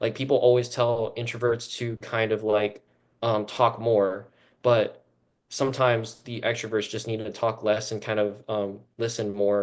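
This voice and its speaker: Against a quiet background, a man speaks at a moderate pace with a fairly low pitch and a monotone, flat intonation. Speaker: student club officer. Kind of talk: podcast panel discussion. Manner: loud, outgoing; casual with many fillers.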